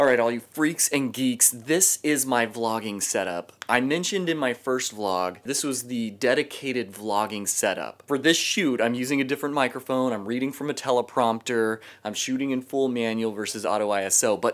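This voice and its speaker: Speaking at a moderate pace with hardly any pauses, a man uses ordinary pitch variation. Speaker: vlogger. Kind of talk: gear talk vlog.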